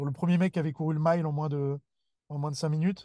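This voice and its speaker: Against a quiet background, a man talks at a very fast pace with monotone, flat intonation. His voice is somewhat breathy, with a dark, mellow tone. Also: dry, close sound with no echo. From Paris region, Seine-et-Marne. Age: 20s. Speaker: weightlifting coach and gym founder. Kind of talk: casual interview chat.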